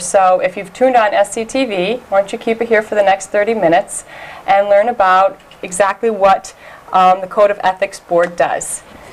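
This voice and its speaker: Noticeable background noise sits behind a woman speaking at a medium pitch. Her pace is moderate and her intonation fairly even. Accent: American. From upstate New York (Elmira). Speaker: community TV host. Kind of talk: interview.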